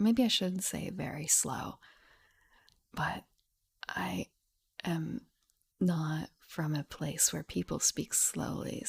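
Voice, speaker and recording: Whispering in a put-on character voice, a woman sounds strained and moves at a very slow pace with long, frequent pauses, the sound dry and close with no echo. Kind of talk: ASMR-style soft speech. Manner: slow, deliberate, strained to speak slowly.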